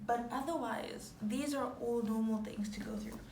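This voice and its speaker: Over noticeable background noise and audible room echo, a woman talks at a fairly high pitch with fairly even intonation. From Zimbabwe. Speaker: YouTuber. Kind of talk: casual chat.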